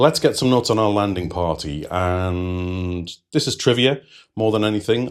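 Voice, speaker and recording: Moderate-paced speech from a man, a very clean recording with a silent background. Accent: British. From United Kingdom. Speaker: TV series reviewer. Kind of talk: video review commentary.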